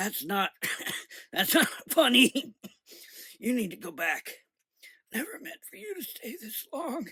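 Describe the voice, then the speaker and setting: A put-on character voice, raspy and fairly high, with very wide pitch swings, a fairly slow pace and long, frequent pauses. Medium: read story. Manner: halting, breathless.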